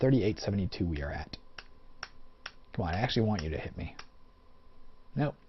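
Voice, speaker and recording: A man with a fairly low voice talks at a very fast pace with lively intonation, a somewhat breathy sound, and long, frequent pauses. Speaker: let's play gamer. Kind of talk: gameplay commentary. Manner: slurred speech.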